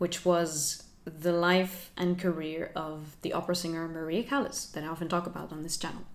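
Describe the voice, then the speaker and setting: A moderate pace in a Finnish accent. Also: woman. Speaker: lifestyle YouTuber. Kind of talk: vlog talk to camera.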